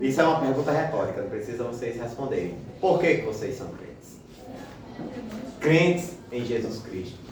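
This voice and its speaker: With lively intonation and big swings in loudness, the speech goes at a moderate pace with long, frequent pauses, amid audible room echo and noticeable background noise. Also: man, medium pitch for a man. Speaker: Sunday school teacher. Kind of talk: Bible class lesson. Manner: speaking quietly.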